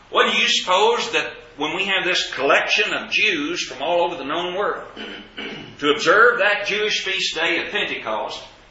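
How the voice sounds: At a moderate pace, a man with a Southern US accent speaks at a high pitch with lively intonation and a bright, sharp tone, in strong room echo. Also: few pauses.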